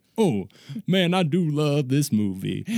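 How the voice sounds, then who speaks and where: A man's put-on character voice, drawling at a fairly slow pace with a fairly high pitch and very wide pitch swings. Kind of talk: casual, relaxed. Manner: laid-back, smooth, drawling.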